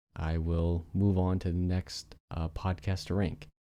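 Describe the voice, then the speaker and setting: A man with a very deep, low pitch and a dark, mellow tone is heard in a very clean recording with a silent background. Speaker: podcast host. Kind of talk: solo podcast monologue. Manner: monotone.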